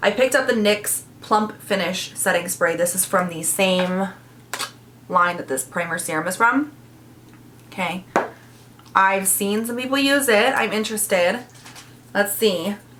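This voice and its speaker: An animated tone at a fairly slow pace, with ordinary pitch variation, long, frequent pauses and noticeable background noise. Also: woman, medium pitch for a woman. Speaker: beauty youtuber. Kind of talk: makeup tutorial and review. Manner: starts loud, voice fades while applying makeup.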